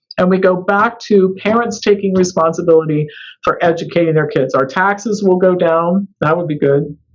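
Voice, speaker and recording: With an American accent, the voice moves at a moderate pace and shows ordinary pitch variation. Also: woman, medium pitch for a woman. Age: 60s. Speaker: author and naturopath. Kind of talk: interview. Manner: animated.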